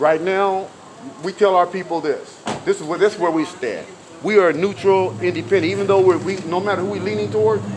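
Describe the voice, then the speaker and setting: A man's high voice at a fairly quick pace, ordinary pitch variation and noticeable background noise. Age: 60s. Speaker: activist, retired bus driver. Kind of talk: street interview. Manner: halting, many repetitions; animated.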